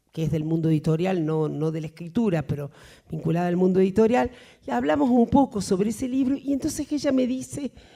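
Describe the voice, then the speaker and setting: Speaking at a fairly quick pace, a woman uses very wide pitch swings in a dark, mellow tone. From Argentina. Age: 60s. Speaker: writer. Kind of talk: Q&A after a lecture. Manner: hesitant, many fillers.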